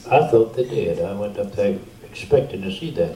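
Man with a Louisiana accent, medium in pitch, with ordinary pitch variation at a moderate pace, plus audible room echo and noticeable background noise. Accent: Louisiana Southern US. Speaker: veteran preacher. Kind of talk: storytelling testimony.

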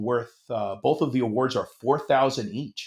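A man speaks at a medium pitch and a fairly slow pace. The recording is very clean, with a silent background. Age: 50s. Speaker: Navy veteran and aerobatic pilot. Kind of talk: casual chat. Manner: halting.

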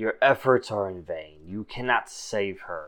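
This man uses a put-on character voice. He speaks at a fairly slow pace in a fairly low pitch. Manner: ominous.

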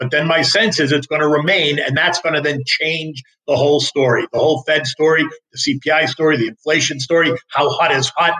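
A man's ordinary speaking voice, fairly high in pitch, fairly quick, with fairly even intonation and very even loudness, dry and close with no echo. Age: 60s. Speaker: market strategist. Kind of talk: interview.

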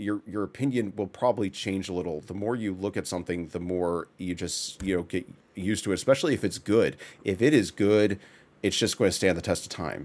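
On a very clean recording with a silent background, a man with a plain, everyday voice, fairly low in pitch, speaks in an American accent at a fairly quick pace with ordinary pitch variation. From Texas. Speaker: podcast host, game studio artist. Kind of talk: casual chat.

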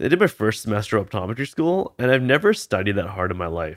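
Here is a man with a Canadian accent and a normal speaking voice, pitched fairly low, talking at a fairly quick pace. The recording is very clean, with a silent background. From Canada (British Columbia). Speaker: optometrist. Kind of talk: casual chat.

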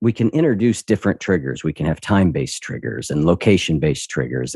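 Very clean recording of a man with a very deep, low pitch and vocal fry, over a silent background. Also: dry, close sound with no echo. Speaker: podcast host and behavior coach. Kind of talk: casual interview chat.

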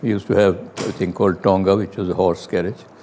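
A man at a moderate pace, over noticeable background noise. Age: 90s. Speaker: partition survivor. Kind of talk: testimony. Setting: at home.

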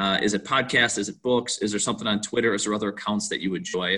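A man speaks with an Upper Midwest accent. His tone is bright and sharp. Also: very clean recording, silent background. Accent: Upper Midwest American. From Wisconsin, Waukesha. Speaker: podcast host and baseball coach. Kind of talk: interview.

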